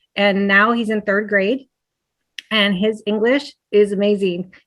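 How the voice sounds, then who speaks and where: A woman speaks with a Spanish accent in a monotone, flat intonation. The background is quiet. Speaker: teacher. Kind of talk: panel discussion.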